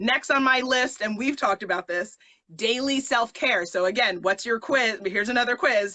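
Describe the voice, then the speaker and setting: Her tone animated, a woman talks at a moderate pace in a fairly high pitch with ordinary variation and very even loudness. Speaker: influencer talk show host. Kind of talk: live-streamed interview conversation.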